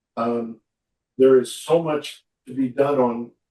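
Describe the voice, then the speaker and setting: A man speaks at a medium pitch in a flat, monotone way, with music playing in the background. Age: 70s. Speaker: trial lawyer. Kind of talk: interview answers.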